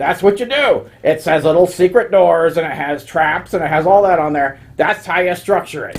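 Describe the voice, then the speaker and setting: A man doing a put-on character voice, high-pitched, at a moderate pace. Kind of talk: comic overacting. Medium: solo performance. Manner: grumpy, rambling, muttering assent.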